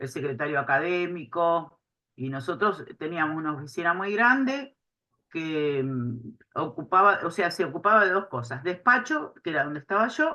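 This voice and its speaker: Over a quiet background, a woman speaks at a moderate pace in a fairly low pitch, her bright, sharp tone making very wide pitch swings. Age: 60s. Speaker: retired inspector and writer, witness. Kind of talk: oral history interview. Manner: hesitant, many fillers.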